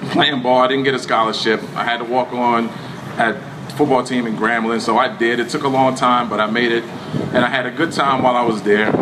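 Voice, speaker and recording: With an American accent, a man speaks fairly quickly at a medium pitch in a flat monotone, with audible room echo and noticeable background noise. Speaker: former actor and architect, speaking at a community event. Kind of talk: speech to an audience. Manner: halting.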